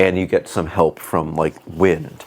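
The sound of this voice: A booming, low-pitched man's voice at a fairly slow pace.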